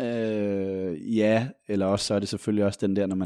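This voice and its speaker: A man's fairly low voice has a dark, mellow tone and fairly even intonation. The sound is dry and close with no echo against a quiet background. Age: 30s. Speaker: journalist. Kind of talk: casual chat.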